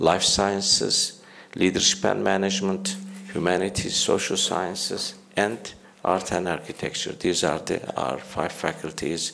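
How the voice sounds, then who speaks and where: A man speaks in a very deep, low voice at a fairly slow pace, with audible room echo and noticeable background noise. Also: fairly even intonation. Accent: Turkish. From Turkey. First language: Turkish. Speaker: university leader. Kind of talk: conference speech. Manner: halting, many fillers.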